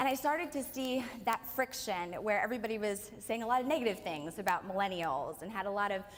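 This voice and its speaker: Someone talks with an American accent at a fairly quick pace. The intonation is lively. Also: woman. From Pennsylvania, US. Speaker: author and speaker. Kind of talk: keynote speech at book launch. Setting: hotel event with live audience. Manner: fast.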